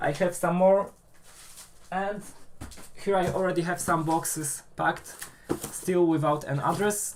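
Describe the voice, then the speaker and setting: A man with a Polish accent at a moderate pace, his intonation fairly even. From Poland. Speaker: maker YouTuber. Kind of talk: live stream chat. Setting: live stream. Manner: hesitant, many fillers.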